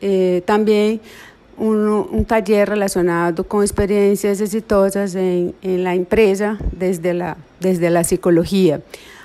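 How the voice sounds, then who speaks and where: A woman's medium-pitched voice in a Portuguese accent, dark and mellow in tone, monotone and flat, at a very slow pace. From Brazil. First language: Portuguese (speaking Spanish). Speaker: psychology professor. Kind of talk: interview. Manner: halting.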